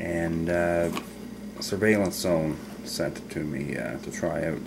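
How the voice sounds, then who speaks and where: The man talks at a very slow pace while noticeable background noise carries on behind him. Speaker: hobbyist demonstrator. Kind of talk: tutorial. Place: home room. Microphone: camera far.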